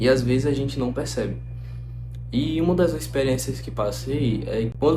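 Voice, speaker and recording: Over audible room echo, a man speaks at a moderate pace. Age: 20s. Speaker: medical student and YouTuber. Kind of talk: casual reflective talk to camera. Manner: conversational.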